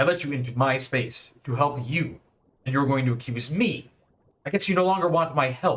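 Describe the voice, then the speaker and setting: A man puts on a character voice that is booming and loud, pitched fairly high. He speaks at a moderate pace. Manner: indignant, accusing.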